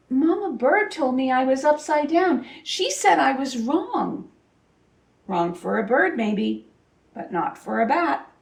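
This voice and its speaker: A woman's put-on character voice, high-pitched and squeaky, fairly slow, with very wide pitch swings. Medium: read story.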